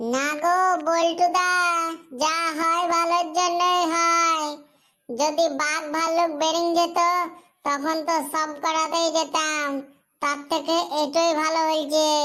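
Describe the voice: In a very clean recording with a silent background, a cartoonish character voice with an extremely high pitch speaks at a fairly slow pace with monotone, flat intonation.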